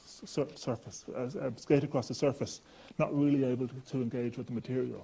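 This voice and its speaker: In an Irish accent, a man speaks at a medium pitch with a dark, mellow tone and fairly even intonation. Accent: Irish, noticeable. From Ireland. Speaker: chemistry professor. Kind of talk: lecture.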